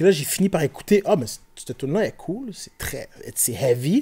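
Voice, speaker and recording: A man with a Quebec accent speaks at a fairly slow pace in a high, dark, mellow voice with very wide pitch swings over a quiet background. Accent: Québécois French. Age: 40s. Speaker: rapper and IT technician; podcast guest. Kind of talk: casual chat. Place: studio. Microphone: studio mic.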